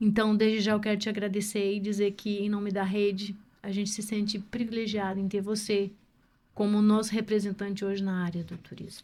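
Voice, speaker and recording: A woman speaks at a fairly quick pace in a medium pitch with a dark, mellow tone. Her intonation stays monotone and flat. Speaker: podcast host. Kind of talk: podcast interview questions.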